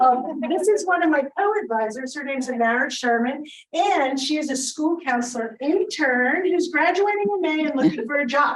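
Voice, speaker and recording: A woman with a high voice speaks at a moderate pace with lively intonation. There is audible room echo. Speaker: school social worker. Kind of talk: panel talk.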